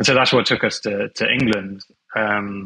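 With a British accent, a man speaks at a fairly slow pace. His tone comes across bright and sharp. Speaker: film composer. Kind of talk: casual interview chat. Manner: easygoing.

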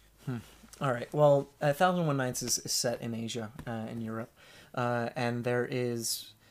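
A man's normal speaking voice at medium pitch, fairly slow in pace, with fairly even intonation. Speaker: massage therapist and storyteller. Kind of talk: casual chat.

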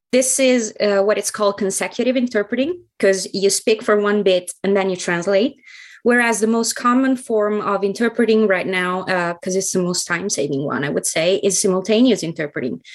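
In an Italian accent, the speaker goes at a fairly quick pace with hardly any pauses and ordinary pitch variation. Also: woman, medium pitch for a woman. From central Italy (Ancona). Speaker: translator and interpreter. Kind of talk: podcast interview.

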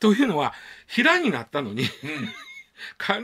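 A man in a Kansai accent, at a fairly quick pace with very wide pitch swings. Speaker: news commentator. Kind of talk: radio news commentary. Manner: casual, hesitant fillers.

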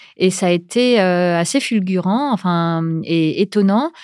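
With lively intonation and a medium pitch, a woman speaks at a very slow pace in a dry, close sound with no echo and a very clean recording with a silent background. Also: very even loudness. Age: 40s. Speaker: podcast creator. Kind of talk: casual interview chat. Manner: hesitant with many fillers and repetitions.

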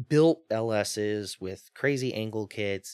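A man with an American accent has an ordinary speaking voice, a fairly low pitch and ordinary pitch variation, recorded dry and close with no echo against a quiet background. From US Mississippi Gulf Coast. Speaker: drift company owner. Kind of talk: casual chat.

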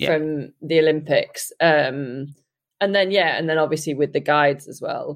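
A woman with a British accent, her pitch very deep and low, her intonation fairly even, at a moderate pace, with big swings in loudness. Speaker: triathlon guide and pro triathlete. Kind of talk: casual chat. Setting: remote call from Japan.

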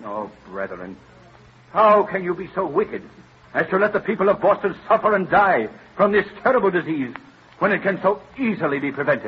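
A man's put-on character voice, high in pitch with big pitch swings, a husky, rough edge and a moderate pace

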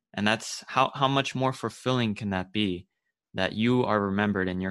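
The recording has a quiet background and features a man at a fairly low pitch. He speaks at a moderate pace in an unremarkable speaking voice with ordinary pitch variation. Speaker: podcast host. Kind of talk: podcast interview.

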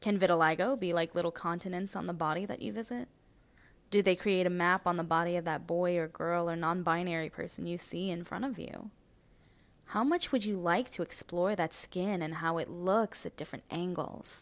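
In a very clean recording with a silent background, a woman with a normal speaking voice talks at a fairly low pitch and a fairly quick pace with ordinary pitch variation. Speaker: poet. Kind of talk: spoken-word poetry reading, original poem. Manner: measured, reflective; rhetorical, building by repeated questions.

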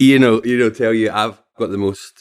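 Someone with a Scottish accent speaks at a moderate pace. The intonation stays fairly even. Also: man. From Scotland, Falkirk. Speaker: streamer. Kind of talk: casual chat.

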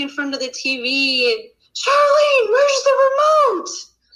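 This is a woman's voice, raised and projected. It has a bright, sharp tone. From Utah, US. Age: 30s. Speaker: YouTuber. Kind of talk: casual chat.

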